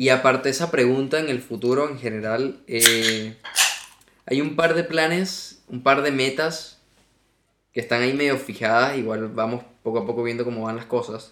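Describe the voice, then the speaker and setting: This man has a plain, everyday voice at a medium pitch, with ordinary pitch variation. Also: moderate pace. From Venezuela, Margarita Island. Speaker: podcast guest. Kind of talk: casual chat.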